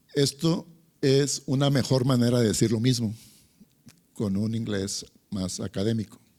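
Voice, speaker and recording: A man with a dark, mellow tone talks at a fairly slow pace, leaving long, frequent pauses, with ordinary pitch variation. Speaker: lecturer. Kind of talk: lecture.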